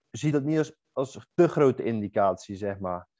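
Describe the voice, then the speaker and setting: This man's voice sits at a medium pitch and uses ordinary pitch variation. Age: 20s. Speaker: bodybuilding competitor. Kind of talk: casual chat.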